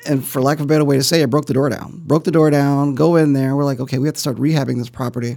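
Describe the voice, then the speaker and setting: With an American accent, a man talks at a very fast pace in a fairly high pitch, his intonation monotone and flat. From US Midwest, South Side of Chicago. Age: middle-aged. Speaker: real estate investor. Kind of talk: interview. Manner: halting, repeats words.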